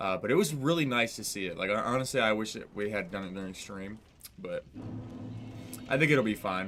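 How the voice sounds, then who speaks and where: A man with a fairly low pitch and lively intonation, at a fairly quick pace with long, frequent pauses, music in the background. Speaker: gaming streamer. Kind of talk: live gameplay stream chat. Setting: live stream with chat. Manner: casual, halting with fillers.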